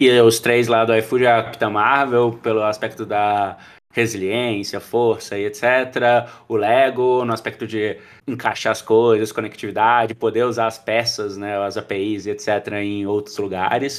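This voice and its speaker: Speaking at a fairly slow pace, a man holds a monotone, flat intonation in a very clean recording with a silent background. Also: medium pitch for a man. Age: 30s. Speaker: podcast host, product school founder. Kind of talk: casual chat.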